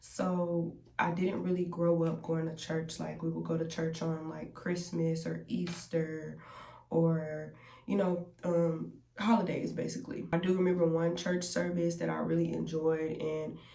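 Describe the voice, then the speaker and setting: The room echo is audible. A woman speaks at a fairly slow pace. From US South, Columbus, Georgia. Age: 20s. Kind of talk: testimony. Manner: casual, chatty.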